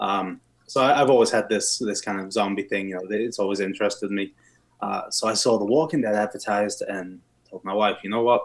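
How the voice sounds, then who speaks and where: Fairly low male voice, ordinary pitch variation, very clean recording and silent background. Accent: English. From England. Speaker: steel plant worker, podcast guest. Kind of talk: casual chat.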